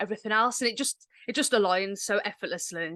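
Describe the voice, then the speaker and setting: Over a quiet background, a woman with an English Midlands accent speaks at a medium pitch with fairly even intonation. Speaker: menstrual cycle coach. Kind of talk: podcast interview.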